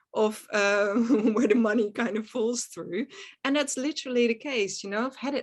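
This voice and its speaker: The speaker talks at a moderate pace with a Dutch accent and ordinary pitch variation against a quiet background. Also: woman. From Netherlands. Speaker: actress and film producer. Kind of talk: interview conversation. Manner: hesitant, searching for words.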